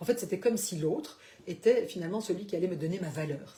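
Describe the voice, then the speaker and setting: A woman's medium-pitched voice with lively intonation and a fairly quick pace, over noticeable background noise. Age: 60s. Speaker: life coach / therapist. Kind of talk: live stream talk. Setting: Facebook live broadcast. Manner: hesitant, many fillers.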